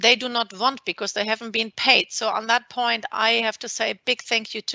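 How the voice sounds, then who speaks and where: A woman's fairly high voice with vocal fry, monotone and flat, in a German accent. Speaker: maritime lawyer. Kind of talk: webinar presentation. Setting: video call.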